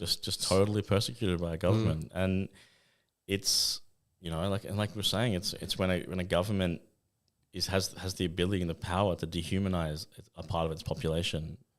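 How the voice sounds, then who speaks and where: A man's very deep, low voice at a fairly quick pace with fairly even intonation, on a very clean recording with a silent background. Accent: Australian. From Western Australia. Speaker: photographer and film director. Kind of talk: interview answer.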